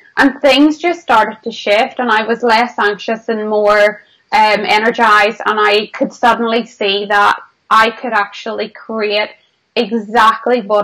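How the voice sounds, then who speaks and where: Speaking at a fairly slow pace with a Northern Irish accent, a woman uses a fairly high, bright, sharp voice with fairly even intonation. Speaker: business mentor. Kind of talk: interview.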